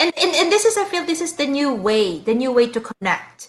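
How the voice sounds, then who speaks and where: A woman is speaking. She has a Filipino accent. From Philippines, Cavite. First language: Tagalog. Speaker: guest, cancer survivor. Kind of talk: casual chat. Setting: live stream.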